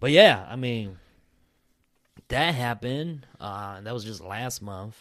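With long, frequent pauses, a man talks at a medium pitch, his pitch moving by an ordinary amount. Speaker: podcast host. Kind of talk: casual chat. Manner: casual, profane.

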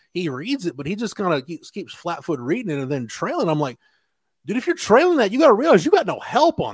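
A high-voiced man races along at a very fast pace, his pitch swinging very widely and his loudness shifting in big swings. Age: 40s. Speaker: college football reporter. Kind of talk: casual chat. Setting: video call.

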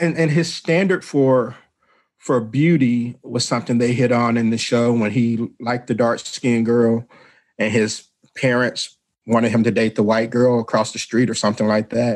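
A man with a Southern US accent talks at a moderate pace in a medium pitch, keeping his intonation fairly even. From Mississippi. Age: 50s. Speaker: radio show host. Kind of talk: casual chat.

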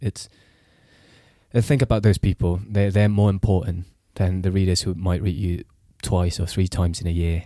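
A man with a very deep, low pitch and a dark, mellow tone speaks in fairly even intonation, leaving long, frequent pauses. The recording is very clean with a silent background and a dry, close sound with no echo. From Singapore. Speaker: journalist. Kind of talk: casual chat.

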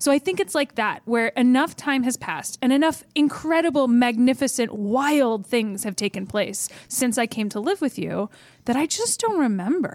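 In a very clean recording with a silent background, a woman speaks at a high pitch with an American accent. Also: lively intonation, moderate pace. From US Midwest. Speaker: tabletop game player. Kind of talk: casual chat and role-play.

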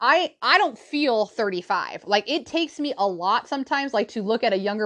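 A woman speaks at a fairly high pitch with lively intonation and an animated tone. The background is quiet. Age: 30s. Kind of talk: solo podcast monologue.

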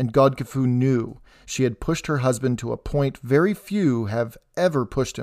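The reading voice sounds natural. Pitch moves up and down in an ordinary way.

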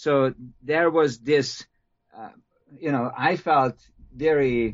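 This man speaks with a Hungarian accent. His pitch is medium and varies an ordinary amount. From Hungary. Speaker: history professor. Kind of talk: interview. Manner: halting.

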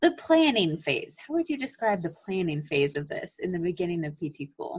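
A woman with a medium pitch speaks at a moderate pace, somewhat breathy, her pitch swinging very widely. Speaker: physical therapy student podcast co-host. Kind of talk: casual chat.

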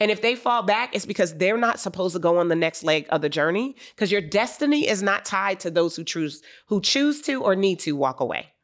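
An ordinary speaking voice with an American accent moves at a fairly quick pace with lively intonation. Loudness is very even, on a very clean recording with a silent background. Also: woman, medium pitch for a woman. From US, Wilmington, Delaware. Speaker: business coach. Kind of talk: interview.

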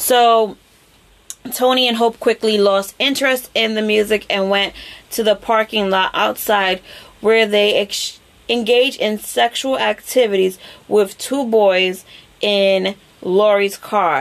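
Very slow in pace, a woman talks at a fairly high pitch with fairly even intonation. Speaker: podcast host. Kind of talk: true-crime narration, telling the case story to co-hosts in casual chat. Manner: conversational storyteller, casual with filler words and laughs.

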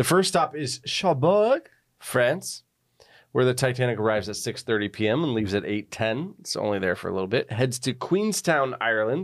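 Here a man with a normal speaking voice talks at a moderate pace and a medium pitch. His intonation is lively, and the recording is very clean with a silent background. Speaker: podcast host. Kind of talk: casual chat. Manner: chatty, jokey.

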